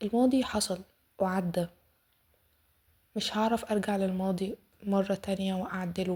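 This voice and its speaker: Breathy to a degree and with an Egyptian accent, a woman speaks at a fairly slow pace and medium pitch, with fairly even intonation and long, frequent pauses, on a very clean recording with a silent background. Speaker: self-development podcaster. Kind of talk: casual self-help podcast talk.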